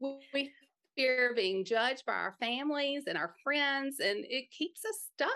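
A woman's raised, projected voice, high in pitch, bright and sharp in tone, very slow, with an American accent. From Mississippi, US South. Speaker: podcaster and life coach for moms. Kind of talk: casual interview.

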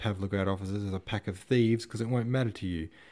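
Simply reading aloud, nothing more.

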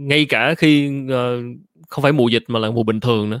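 A man's medium-pitched voice, an ordinary speaking voice at a fairly quick pace, in a very clean recording with a silent background and a dry, close sound with no echo

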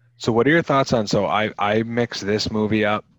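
Heard against a quiet background, a man with a plain, everyday voice speaks at a moderate pace and a fairly low pitch. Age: 30s. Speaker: podcast co-host, former video rental clerk. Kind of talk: casual chat.

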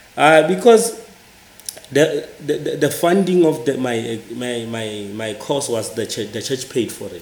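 Noticeable background noise under a man speaking at a fairly slow pace. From South Africa. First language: a Southern African language, not English. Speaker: church minister and NGO worker. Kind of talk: interview. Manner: halting, with frequent repetitions.

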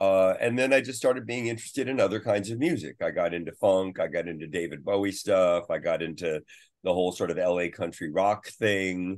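Speaking with a Californian accent, a man talks fairly quickly in a fairly low pitch with ordinary pitch variation. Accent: Californian American. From US West Coast, San Francisco Bay Area. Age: old. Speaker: guitarist. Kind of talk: interview.

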